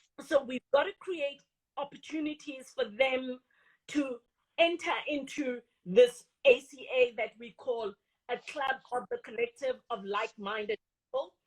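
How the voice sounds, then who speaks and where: Her voice high in pitch, a woman with a Botswana accent speaks fairly slowly with lively intonation, the sound dry and close with no echo. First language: Setswana. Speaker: industry association CEO. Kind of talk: interview.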